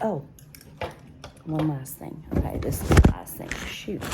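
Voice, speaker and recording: Soft-spoken, a woman talks at a moderate pace with a very deep, low pitch and ordinary pitch variation. Noticeable background noise sits behind her. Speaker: craft YouTuber. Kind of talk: casual haul vlog. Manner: soft-spoken, talking low; animated.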